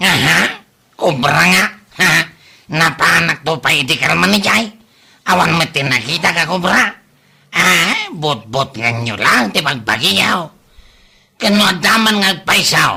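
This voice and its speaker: A man in a put-on character voice talks at a fairly slow pace, with long, frequent pauses and very wide pitch swings. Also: fairly high pitch for a man, very even loudness. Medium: audio drama. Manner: loud, blustering.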